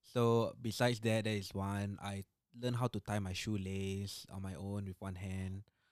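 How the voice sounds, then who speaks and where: A man with a Singaporean accent speaks at a moderate pace in a fairly low pitch with monotone, flat intonation. The very clean recording has a silent background and a dry, close sound with no echo. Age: 20s. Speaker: road accident survivor. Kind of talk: testimony.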